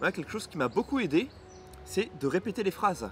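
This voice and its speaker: Over music in the background, a man with a fairly high pitch talks at a fairly quick pace, his pitch swinging very widely. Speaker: booktuber. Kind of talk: casual vlog monologue. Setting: outdoors in the sun. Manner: fast, mumbles words at times.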